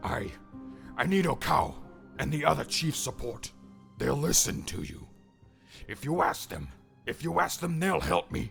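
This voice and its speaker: A put-on character voice at a moderate pace, broken by long, frequent pauses, with clear music in the background. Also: man, medium pitch for a man. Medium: read story. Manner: desperate, ranting.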